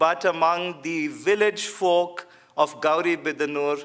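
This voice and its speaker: A man with a Kannada accent and a high pitch for a man speaks at a fairly slow pace. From India, Bangalore. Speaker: theologian. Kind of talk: lecture.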